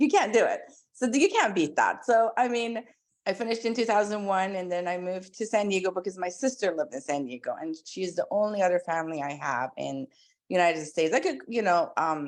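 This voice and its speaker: Against a quiet background, a woman with an Iranian accent talks at a fairly quick pace and medium pitch. Her tone is animated, with very wide pitch swings. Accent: Iranian (Persian) accent in English. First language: Persian. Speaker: pediatric dentist. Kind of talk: interview.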